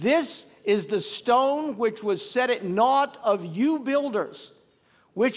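The speech moves at a very slow pace. The background is quiet. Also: man. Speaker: pastor. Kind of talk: sermon. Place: church. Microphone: podium.

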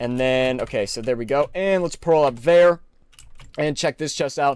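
A man speaks at a fairly high pitch with an ordinary speaking voice. His pace is moderate and his pitch varies in an ordinary way. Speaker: gaming YouTuber. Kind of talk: gameplay commentary. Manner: casual, filler-heavy. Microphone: new mic.

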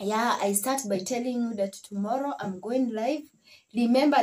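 Her intonation lively, a woman speaks in a high pitch. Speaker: vlogger; family vlogger. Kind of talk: casual vlog talk. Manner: halting. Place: home room. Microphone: phone near.

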